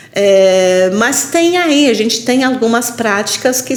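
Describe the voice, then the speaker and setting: Against noticeable background noise, a woman speaks very slowly at a fairly high pitch with ordinary pitch variation. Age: 60s. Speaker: university lecturer and elder care portal CEO. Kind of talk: podcast interview.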